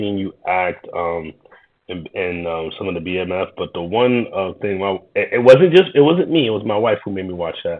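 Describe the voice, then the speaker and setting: Speaking in a New York accent, a man uses a fairly low voice with ordinary pitch variation. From Queens, New York, Haitian-American. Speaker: YouTuber reacting to videos, tech worker. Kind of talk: reaction commentary. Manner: hesitant, many fillers and repetitions.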